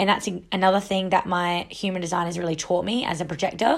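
Against a silent background in a very clean recording, a woman talks at medium pitch. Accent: Australian. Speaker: wellness podcast host. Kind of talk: solo casual monologue. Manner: animated.

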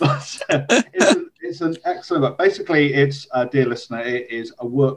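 This man speaks at medium pitch with an English Midlands accent. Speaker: podcast host. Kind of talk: conversational, warm.

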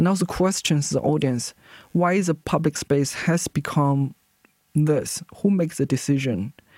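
At a fairly slow pace, a woman with a Chinese accent speaks in a very deep, low pitch and a dark, mellow tone, with ordinary pitch variation. Her loudness stays very even, and the sound is dry and close with no echo. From China. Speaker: visual artist. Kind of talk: interview. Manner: halting.

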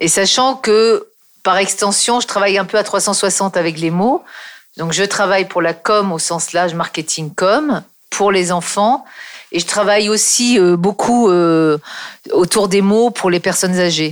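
A woman at a medium pitch speaks at a very slow pace, with ordinary pitch variation. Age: 50s. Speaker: copywriter and author. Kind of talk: interview.

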